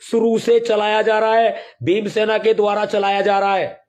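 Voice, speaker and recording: The speaker is a man. His pitch is high. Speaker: activist group leader. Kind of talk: political speech.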